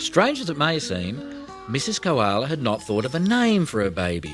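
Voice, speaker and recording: Music plays in the background. A man talks at a medium pitch and a moderate pace. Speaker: audiobook narrator. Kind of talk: children's audiobook reading.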